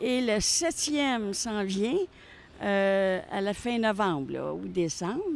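Very slow speech from a woman, pitch varying in an ordinary way. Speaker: passerby. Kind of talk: interview. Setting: outdoors. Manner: halting.

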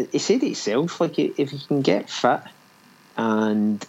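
A man with a Scottish accent and lively intonation. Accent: Scottish, noticeable. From Scotland. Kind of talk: casual chat.

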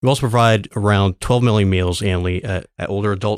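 On a very clean recording with a silent background, a man talks at a fairly quick pace in a fairly low pitch with ordinary pitch variation and an unremarkable speaking voice. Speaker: city agency director. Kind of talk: interview.

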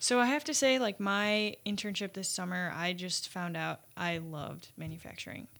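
With an American accent and an ordinary speaking voice, the speaker keeps a moderate pace and lively intonation with hardly any pauses. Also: woman, medium pitch for a woman. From Chicago suburbs, US Midwest. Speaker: engineering student. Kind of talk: casual interview.

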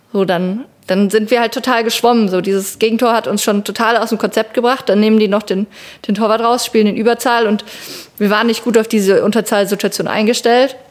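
A woman speaks in a fairly high voice with a flat, monotone delivery and very even loudness. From Palatinate, Germany (Meckenheim). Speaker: field hockey goalkeeper. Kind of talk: casual interview.

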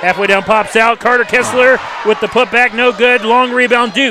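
A man talks over noticeable background noise. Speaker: radio play-by-play announcer. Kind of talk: live sports commentary, rapid play-by-play call with ad reads. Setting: courtside broadcast booth at a high school gym. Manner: nervous energy, admits to sounding calmer than he feels.

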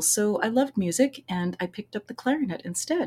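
In a very clean recording with a silent background, a woman with an American accent sounds somewhat breathy, with a dark, mellow tone and lively intonation. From United States. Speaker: voice teacher and author. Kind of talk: interview.

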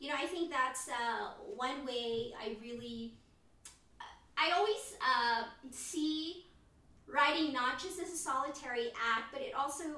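A woman with a high-pitched, bright and sharp voice projects loudly at a fairly slow pace, with ordinary pitch variation. She leaves long, frequent pauses, and the room echo is audible. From Philippines. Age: 40s. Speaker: poet. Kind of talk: casual chat.

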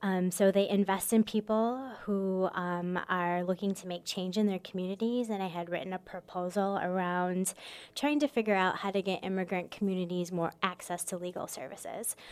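A woman with an American accent and a plain, everyday voice speaks at a moderate pace and medium pitch, with fairly even intonation and hardly any pauses, in a very clean recording with a silent background. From Michigan, US Midwest. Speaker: immigration lawyer and advocacy director. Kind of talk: radio interview. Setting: radio studio.

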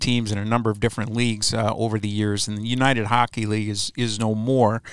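An unremarkable speaking voice from a man with an American accent, medium in pitch and fairly quick, with fairly even intonation and a dry, close sound free of echo. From US Midwest, Chicago. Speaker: hockey team web show host. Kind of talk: interview.

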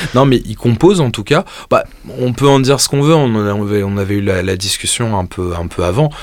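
A man speaks in a normal speaking voice at a medium pitch. His pace is fairly quick and his intonation lively. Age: 30s. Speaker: guitar podcast co-host. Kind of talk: casual chat. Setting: studio.

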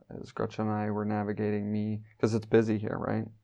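A man speaks with a Midwestern American accent. His fairly quick delivery has a dark, mellow tone. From US Midwest, Wyoming. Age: 30s. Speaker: church elder. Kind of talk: interview.

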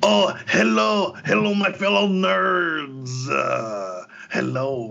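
Putting on a character voice, a man speaks very slowly at medium pitch, with very wide pitch swings and light background noise. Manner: comedic creature voice.

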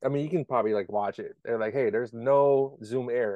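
A man with an unremarkable speaking voice, fairly high in pitch, lively in intonation, at a fairly quick pace. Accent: American. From Maryland (DMV area). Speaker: podcast host. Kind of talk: casual chat.

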